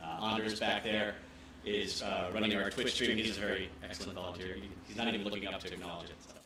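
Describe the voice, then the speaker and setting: Delivered at a very fast pace in a monotone, flat way, the speech swings widely in loudness amid audible room echo and noticeable background noise. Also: man, fairly low pitch for a man. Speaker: nonprofit museum director, former game journalist. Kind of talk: event welcome speech. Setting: event space with audience, microphone.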